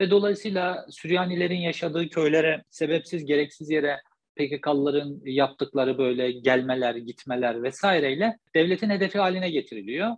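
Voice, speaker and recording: A man speaks at a very fast pace with hardly any pauses, his pitch fairly high with ordinary variation. The background is quiet. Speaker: journalist guest. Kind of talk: interview. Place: home room. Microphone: video call.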